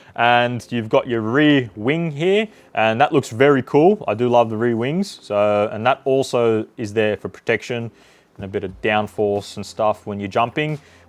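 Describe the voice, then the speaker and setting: A man speaks at medium pitch with an Australian accent and an enthusiastic tone. His pace is moderate, with ordinary pitch variation. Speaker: RC hobby YouTuber. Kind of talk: product unboxing review. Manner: enthusiastic, casual.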